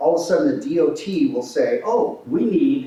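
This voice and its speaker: Loud, with very wide pitch swings, a man speaks amid noticeable background noise and audible room echo. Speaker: transportation project presenter. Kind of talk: public meeting presentation. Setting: in-person meeting room.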